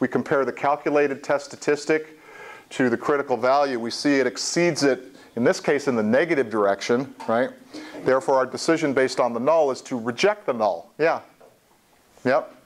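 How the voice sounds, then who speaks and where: Speaking at a fairly quick pace, a man uses a fairly high pitch with ordinary pitch variation. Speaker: statistics professor. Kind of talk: lecture. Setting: classroom with students. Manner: loud.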